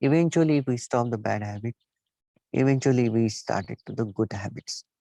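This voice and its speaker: A man talks at a medium pitch with a non-native accent. His tone is dark and mellow, and the sound is dry and close with no echo. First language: not English. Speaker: Buddhist teacher. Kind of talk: dharma talk. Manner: halting.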